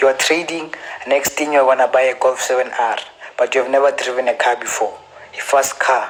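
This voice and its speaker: A man with a South African accent speaks at a moderate pace and a fairly high pitch. His intonation is monotone and flat, with noticeable background noise. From South Africa, Gauteng. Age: 20s. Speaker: forex trader. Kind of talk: casual advice talk / Q&A. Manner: repetitive, stammering restarts.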